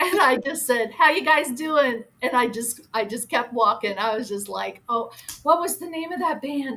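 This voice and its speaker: Her high voice moves at a moderate pace with lively intonation and big swings in loudness. This woman is heard over noticeable background noise. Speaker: former radio marketing person. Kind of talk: casual radio interview storytelling. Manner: chatty, upbeat.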